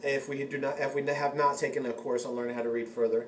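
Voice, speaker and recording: Talking at a very fast pace, a man with a fairly high pitch is heard over noticeable background noise. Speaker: occult vlogger. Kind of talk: casual vlog talk. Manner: halting, many fillers and restarts.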